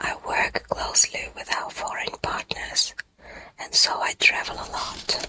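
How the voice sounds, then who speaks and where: A whispered voice moves fairly slowly against noticeable background noise. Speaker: ASMR English-learning voiceover reader. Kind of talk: whispered educational ASMR reading of business English vocabulary.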